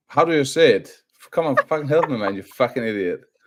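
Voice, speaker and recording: Animated in tone, a man speaks at a fairly quick pace, with a dry, close sound and no echo. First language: not English. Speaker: football fan co-presenter. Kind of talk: casual chat on live stream. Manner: halting.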